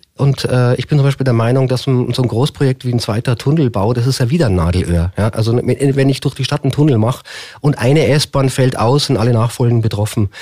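At a fairly quick pace, a man with a medium pitch and a dark, mellow, somewhat breathy tone speaks with very even loudness and ordinary pitch variation. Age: 50s. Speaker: mayoral candidate. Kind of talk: radio interview. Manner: hesitant fillers.

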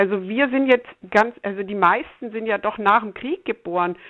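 A woman speaks at a moderate pace with a fairly high pitch. It is an unremarkable speaking voice. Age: 60s. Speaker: climate activist grandmother. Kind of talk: interview.

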